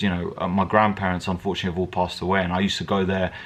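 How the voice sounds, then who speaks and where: Here a man speaks with a strong British accent. His pitch is fairly low. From England. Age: 20s. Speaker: MMA fighter. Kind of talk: casual Q&A vlog. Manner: hesitant, many fillers and repetitions.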